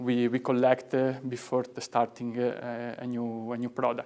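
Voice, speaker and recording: A man's medium-pitched voice in an Italian accent, at a fairly slow pace. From Italy. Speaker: product and graphic designer. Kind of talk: product presentation. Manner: halting.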